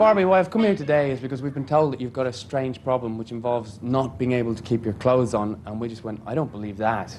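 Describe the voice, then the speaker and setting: An Irish-accented man at a very fast pace, medium in pitch, with ordinary pitch variation and hardly any pauses. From Ireland. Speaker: TV presenter. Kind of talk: TV presenting. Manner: animated.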